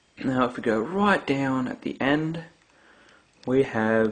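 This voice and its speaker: A man with an Australian accent at a fairly slow pace, his pitch varying in an ordinary way. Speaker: gaming YouTuber. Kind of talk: product comparison video. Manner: casual with filler words.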